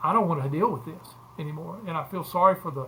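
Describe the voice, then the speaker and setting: This man speaks with an Alabama accent. His tone is bright and sharp. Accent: Southern US (Alabama). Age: 70s. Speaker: former college football player and sports agent. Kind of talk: casual interview. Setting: podcast.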